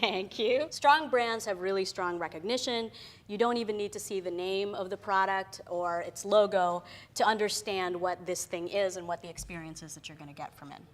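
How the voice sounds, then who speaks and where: A woman speaks loudly at medium pitch. The recording is very clean, with a silent background. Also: ordinary pitch variation, moderate pace. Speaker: creative professional giving career talk. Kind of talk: talk to an audience. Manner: casual, many fillers.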